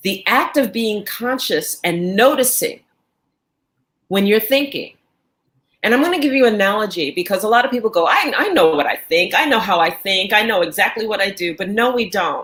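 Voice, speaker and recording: A woman with an American accent speaks in an unremarkable speaking voice, fairly high in pitch, with lively intonation at a moderate pace. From New York. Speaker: life coach. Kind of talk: casual chat.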